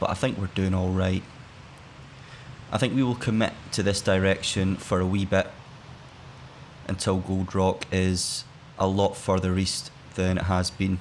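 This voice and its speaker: Speaking in a Scottish accent, a man uses a very deep, low pitch, fairly even intonation and very even loudness at a fairly slow pace, with long, frequent pauses. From Scotland. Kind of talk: gaming let's play commentary. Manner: relaxed, laid-back.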